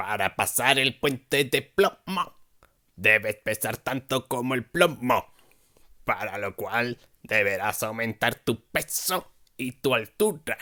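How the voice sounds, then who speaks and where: Using a put-on character voice, a man speaks at a fairly slow pace and medium pitch. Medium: read story.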